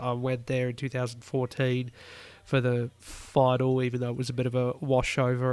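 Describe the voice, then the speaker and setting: The speaker is a man with an Australian accent. His intonation is monotone and flat. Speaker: motorsport podcast host. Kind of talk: solo podcast commentary.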